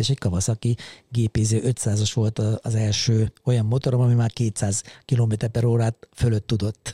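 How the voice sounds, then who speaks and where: A man of medium pitch sounds somewhat breathy and dark, mellow in tone, in a dry, close sound with no echo on a very clean recording with a silent background. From Hungary, Szabolcs-Szatmár-Bereg county (Mátészalka). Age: 50s. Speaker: podcast co-host, motorcyclist, café owner. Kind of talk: casual chat. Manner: halting, many repeated filler words.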